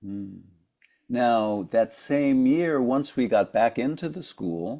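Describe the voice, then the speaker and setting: Over a silent background in a very clean recording, a man talks fairly slowly at a medium pitch with a dark, mellow tone. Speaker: podcast interviewer. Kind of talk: interview questions.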